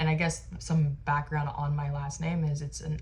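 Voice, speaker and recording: A woman with a Western US accent speaks amid audible room echo. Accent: General American (western US). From Arizona. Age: 20s. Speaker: lifestyle vlogger. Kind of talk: casual chat. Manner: casual, filler-heavy (like, um).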